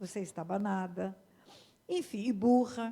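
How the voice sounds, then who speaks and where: At a fairly slow pace, a woman speaks in a dark, mellow tone at a medium pitch, with ordinary pitch variation. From Brazil, Mato Grosso do Sul (Aquidauana). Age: 70s. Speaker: pastor. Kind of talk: sermon.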